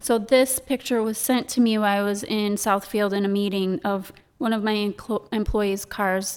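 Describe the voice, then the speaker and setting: A woman with an American accent, an ordinary speaking voice, fairly even intonation and hardly any pauses, on a very clean recording with a silent background. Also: medium pitch for a woman, moderate pace. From Michigan, US. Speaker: chocolate shop owner. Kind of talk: casual interview chat. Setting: studio.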